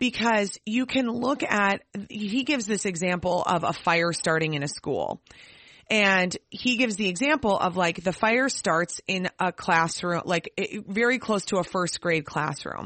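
A woman with an ordinary speaking voice, medium pitch, lively intonation and a fairly slow pace. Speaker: podcast co-host. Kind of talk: casual chat.

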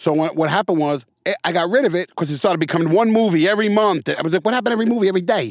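A man with a New York accent talks very fast in a high pitch, with hardly any pauses. The sound is dry and close, with no echo. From New York City, the Bronx. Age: 50s. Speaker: actor. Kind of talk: casual interview. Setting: studio.

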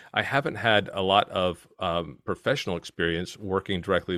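A man speaks with a very deep, low pitch and a strong Virginia accent. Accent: strong American (Virginia). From Virginia, US. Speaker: podcast producer. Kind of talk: interview, explaining his work.

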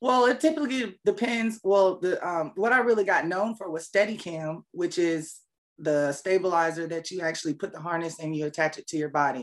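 A woman with a plain, everyday voice and an American accent speaks at a fairly low pitch, with lively intonation and big swings in loudness. She moves at a fairly quick pace with hardly any pauses. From Fayetteville, North Carolina (born South Korea). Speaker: camera operator, former athlete. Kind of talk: interview.

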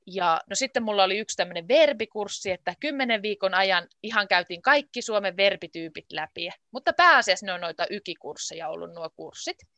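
A woman with a medium pitch and a bright, sharp tone speaks at a moderate pace with hardly any pauses, lively intonation and big swings in loudness, in a dry, close sound with no echo against a quiet background. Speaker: Finnish language teacher. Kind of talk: casual interview. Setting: video call. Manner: clear, simplified speech.

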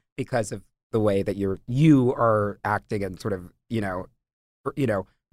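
A man speaks at a moderate pace in an unremarkable speaking voice. His pitch is fairly low and varies in an ordinary way. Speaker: podcast host and interviewer. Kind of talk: casual chat.

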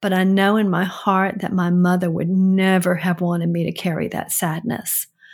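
A woman speaks with an unremarkable speaking voice at a medium pitch. Her pace is fairly slow and her intonation fairly even. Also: very clean recording, silent background. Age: 60s. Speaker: host's mother giving advice. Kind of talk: casual chat.

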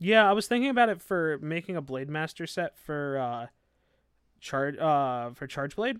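A man with a plain, everyday voice speaks at a moderate pace and a fairly high pitch, with lively intonation. The recording is very clean, with a silent background. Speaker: podcast host. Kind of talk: casual banter while gaming. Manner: casual, joking.

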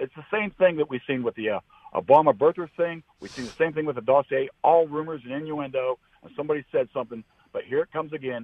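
Talking very fast, a man uses an American accent and a fairly high voice. His loudness swings widely. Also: ordinary pitch variation. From Florida. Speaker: caller. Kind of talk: call-in talk. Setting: phone call.

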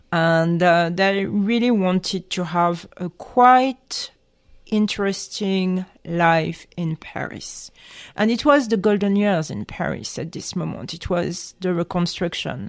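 In a French accent, a woman speaks at a very slow pace over a quiet background. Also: medium pitch for a woman, ordinary pitch variation. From France. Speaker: journalist. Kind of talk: interview.

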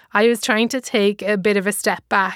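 A woman's medium-pitched voice with an Irish accent, fairly even intonation and a moderate pace, in a dry, close sound with no echo and a very clean recording with a silent background. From Ireland. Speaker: comedian and author. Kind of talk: casual talk about her book.

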